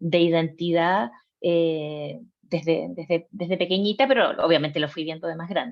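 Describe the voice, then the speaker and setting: A woman speaks with a Chilean accent at a fairly low pitch. Her pace is moderate and her pitch variation ordinary. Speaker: psychologist. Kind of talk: personal testimony. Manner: hesitant, many fillers.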